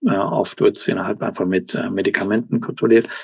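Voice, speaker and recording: A man at a medium pitch. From Germany, Cologne. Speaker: professor and kidney researcher. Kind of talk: interview. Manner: halting, many fillers and English words.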